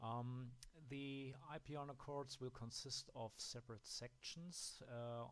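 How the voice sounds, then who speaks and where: With a German accent, a man talks at a very slow pace and medium pitch. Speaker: app developer. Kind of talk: software tutorial. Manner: halting, with many fillers.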